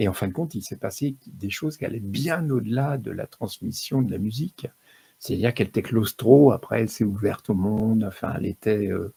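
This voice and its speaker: A man with a dark, mellow, somewhat breathy voice speaks at a medium pitch and moderate pace, with ordinary pitch variation and a dry, close sound with no echo. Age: 60s. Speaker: music therapist. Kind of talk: talk to live audience. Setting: stage with audience. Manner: halting.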